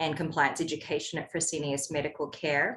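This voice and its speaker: The speaker has a New Zealand accent and fairly even intonation. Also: woman. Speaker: compliance executive and podcaster. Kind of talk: podcast interview.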